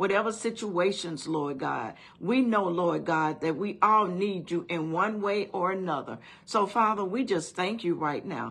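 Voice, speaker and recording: Her intonation is lively as the woman talks at a fairly slow pace. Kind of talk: prayer. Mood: earnest, reverent. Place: home room. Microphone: phone near.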